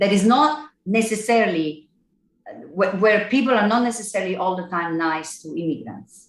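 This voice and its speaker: In an Italian accent, a woman talks at a moderate pace with lively intonation. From Italy (Naples). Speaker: singer-songwriter. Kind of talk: casual chat.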